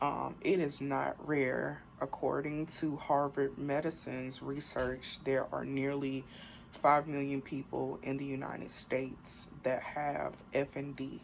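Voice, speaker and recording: A woman's very deep, low voice in a Southern US accent at a very slow pace. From US South. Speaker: vlogger sharing health journey. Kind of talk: casual talk to camera. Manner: halting, fumbled speech.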